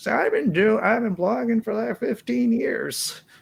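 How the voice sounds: A man speaks in a put-on character voice at a high pitch. His pace is moderate.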